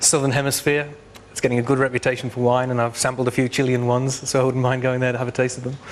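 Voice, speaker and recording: Noticeable background noise sits behind a man talking at a very fast pace. His medium-pitched voice has monotone, flat intonation. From northern England, Sunderland. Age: 30s. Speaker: game show contestant. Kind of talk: game show chat.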